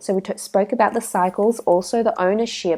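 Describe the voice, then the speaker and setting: A woman mumbling at a fairly quick pace, medium in pitch with a dark, mellow tone and fairly even intonation, on a very clean recording with a silent background. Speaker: tarot reader. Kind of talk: tarot reading. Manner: halting.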